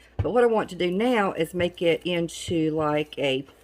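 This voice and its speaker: A woman with a Southern US accent talks fairly slowly, with lively intonation. Her voice is medium in pitch with a dark, mellow tone. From Southern United States. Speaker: DIY crafter. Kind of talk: casual talk to camera.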